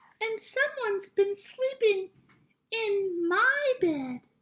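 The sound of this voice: Putting on a character voice, a woman speaks very slowly in a squeaky, extremely high pitch.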